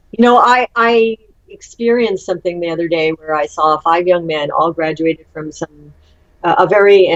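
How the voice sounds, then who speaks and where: A woman's fairly low voice, an unremarkable speaking voice, at a moderate pace with lively intonation and a dry, close sound with no echo. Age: 60s. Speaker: UFO conference co-founder. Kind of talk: interview.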